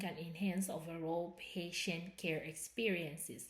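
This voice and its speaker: Against noticeable background noise, someone with a non-native accent talks at a very slow pace. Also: woman. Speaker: student presenting research project. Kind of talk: academic presentation. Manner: halting, self-correcting.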